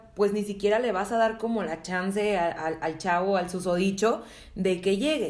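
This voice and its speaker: A woman speaks at a moderate pace with a medium pitch and ordinary pitch variation. Audible room echo surrounds her voice. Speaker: podcast co-host. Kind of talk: casual chat.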